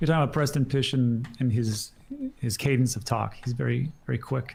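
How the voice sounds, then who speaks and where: Moderate pace over noticeable background noise. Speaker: crypto commentator. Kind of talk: live stream commentary reading chat.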